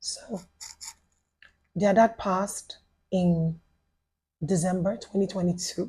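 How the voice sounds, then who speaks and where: With a Yoruba accent, a woman speaks at a very slow pace in a medium pitch, her dark, mellow, somewhat breathy voice held to a monotone, flat intonation and broken by long, frequent pauses. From Nigeria, Lagos. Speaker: widow sharing life story. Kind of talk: podcast interview testimony. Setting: studio.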